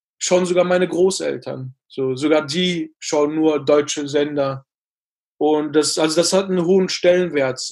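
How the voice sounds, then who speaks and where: A man's fairly high voice, a normal speaking voice, with fairly even intonation at a fairly slow pace. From Ruhr area, Germany (Bottrop). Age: 20s. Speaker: actor. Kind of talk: interview.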